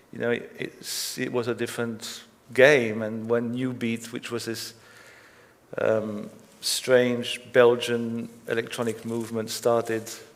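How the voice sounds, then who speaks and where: There is audible room echo around a man's voice. He talks at a fairly slow pace with monotone, flat intonation. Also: medium pitch for a man. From Belgium. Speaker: record label founder. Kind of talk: onstage interview.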